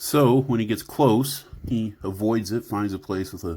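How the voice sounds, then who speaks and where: A man with an American accent and ordinary pitch variation, in a very clean recording with a silent background. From Oklahoma. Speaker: tabletop role-play storyteller. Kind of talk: storytelling narration. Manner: halting, many fillers.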